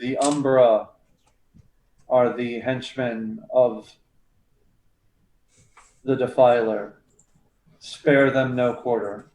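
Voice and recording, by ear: A man puts on a booming character voice at a medium pitch. He goes very slowly, with long, frequent pauses.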